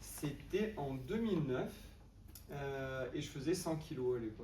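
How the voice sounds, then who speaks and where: Speech comes at a very slow pace with lively intonation. Audible room echo and noticeable background noise fill the recording. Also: man, fairly high pitch for a man. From southern France, Avignon. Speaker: marathon runner. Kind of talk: interview.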